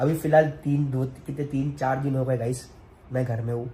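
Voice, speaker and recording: The speech moves at a moderate pace with monotone, flat intonation and audible room echo. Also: man. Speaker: family vlogger. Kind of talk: emotional vlog monologue. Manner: emotional, earnest.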